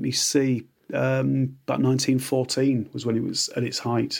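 Moderate pace from a man with a Yorkshire accent and a fairly high pitch. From Yorkshire Dales, England. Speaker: biographer and writer. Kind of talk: casual chat.

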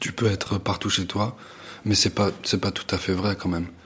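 Over noticeable background noise, a man with a fairly low pitch speaks at a fairly quick pace in a monotone, flat way. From United States and Tunisia. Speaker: visual artist. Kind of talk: interview. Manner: halting, many repetitions and fillers.

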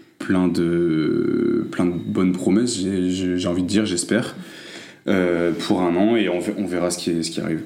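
Speech with fairly even intonation comes at a fairly slow pace, with audible room echo. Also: man. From France. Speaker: recent graduate. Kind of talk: casual interview.

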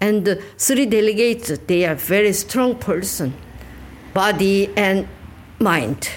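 A woman speaks at a medium pitch with vocal fry and lively intonation. Her pace is very slow, broken by long, frequent pauses. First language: Korean (speaking Dutch). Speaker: museum guide. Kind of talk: guided tour interview.

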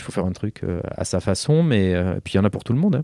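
In a very clean recording with a silent background and a dry, close sound with no echo, a man speaks with a dark, mellow tone, fairly low pitch and lively intonation. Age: 40s. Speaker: plastic surgeon. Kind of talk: interview. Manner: halting.

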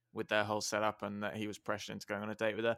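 A man's fairly low voice with vocal fry, dry and close with no echo. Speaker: podcast host. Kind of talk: casual chat. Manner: dry, wry humor.

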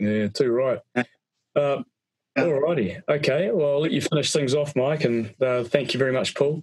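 A man with a plain, everyday voice speaks at a fairly high pitch and moderate pace, with ordinary pitch variation and very even loudness, in a dry, close sound with no echo. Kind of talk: casual chat. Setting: video call.

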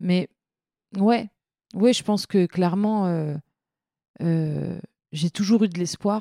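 A woman speaks at a very slow pace in a dark, mellow tone with fairly even intonation, recorded very cleanly with a silent background and a dry, close sound with no echo. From France, Seine-Saint-Denis. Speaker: feminist activist, association founder. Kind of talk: casual interview.

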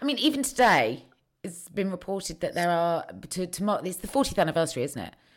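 A woman with a British accent, vocal fry, very wide pitch swings and a fairly quick pace, on a very clean recording with a silent background. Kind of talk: casual interview chat.

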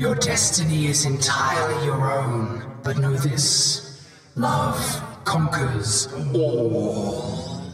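A put-on character voice, resonant and low-to-middle in pitch, at a very slow pace, with strong echo and clear background noise. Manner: solemn, majestic.

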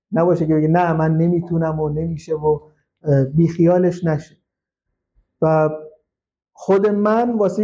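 Dark and mellow in tone yet high in pitch, a man's voice moves at a moderate pace. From Iran, Khuzestan (Shush). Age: 30s. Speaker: hackintosh specialist. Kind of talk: casual interview. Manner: halting.

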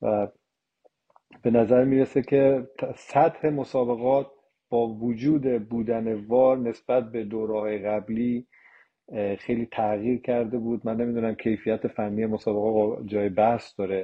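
A man with a normal speaking voice talks at medium pitch and a fairly slow pace, his intonation fairly even. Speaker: retired international football referee. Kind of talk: casual chat.

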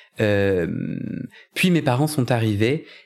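Someone speaks at a fairly slow pace on a very clean recording with a silent background. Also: man. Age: 30s. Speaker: podcaster and coach. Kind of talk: personal testimony in a casual interview. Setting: at home. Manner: halting, many hesitations.

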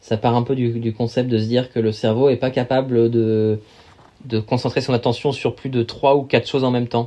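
With monotone, flat intonation and a dark, mellow tone, a man speaks at medium pitch and a fairly quick pace. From Paris region, France (Val d'Oise). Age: 30s. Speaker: endurance athlete and sailor. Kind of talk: casual interview. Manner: hesitant, many fillers.

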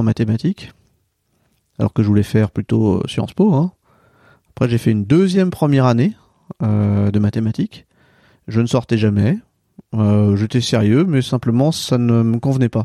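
Dark and mellow in tone, the voice moves at a fairly quick pace with lively intonation, very even loudness and long, frequent pauses, sounding dry and close with no echo. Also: man. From France, Centre-Val de Loire. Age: 40s. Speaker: regional business executive. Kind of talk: interview.

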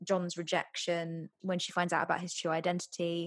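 Speaking at a moderate speed, this woman has a normal speaking voice pitched fairly low. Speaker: podcast co-host. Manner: casual, chatty.

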